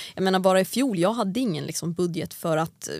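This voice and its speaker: At a very fast pace, a woman speaks at a medium pitch. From Sweden, Järfälla near Stockholm, then Åland from age 12. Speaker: drag racing driver. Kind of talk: casual interview chat. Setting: studio.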